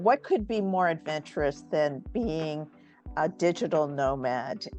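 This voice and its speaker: With music in the background, a woman with a very deep, low pitch speaks at a fairly slow pace using lively intonation. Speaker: community founder and interviewer. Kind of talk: interview questions.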